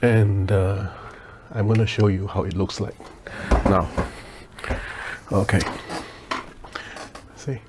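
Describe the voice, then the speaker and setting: A soft-spoken man talks in a flat, monotone way at a fairly low pitch, with long, frequent pauses and noticeable background noise. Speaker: leatherworker. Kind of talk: tutorial. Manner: hesitant, many fillers.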